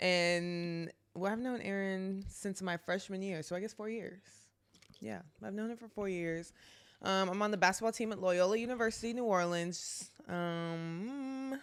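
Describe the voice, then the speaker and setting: In an American accent, a woman with an unremarkable speaking voice talks at a moderate pace and medium pitch, her pitch variation ordinary. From Texas (Garland). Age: 20s. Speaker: college basketball player. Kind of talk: casual chat.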